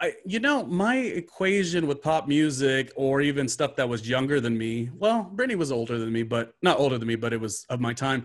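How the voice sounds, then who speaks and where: A man's unremarkable speaking voice, fairly high in pitch, with lively intonation, a fairly quick pace and hardly any pauses. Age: 40s. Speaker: podcast host. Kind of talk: casual chat.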